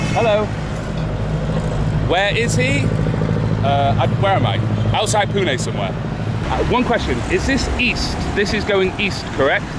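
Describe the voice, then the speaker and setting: Long, frequent pauses at a fairly slow pace, a dry sound with no echo, and loud background noise. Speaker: travel vlogger on a bicycle. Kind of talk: casual vlog chat. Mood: cheerful, joking. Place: street. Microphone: phone near.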